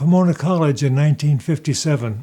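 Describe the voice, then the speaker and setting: A man's fairly high, dark, mellow, somewhat breathy voice in an American accent, very fast and fairly even in intonation. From Southern California. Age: 80s+. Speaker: retired physician and oncology professor. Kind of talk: scripted personal narration. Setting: at home.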